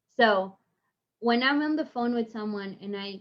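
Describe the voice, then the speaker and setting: A woman talks at a moderate pace with an Argentine accent. Her pitch is fairly high. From Argentina. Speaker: online home sales specialist. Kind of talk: podcast interview.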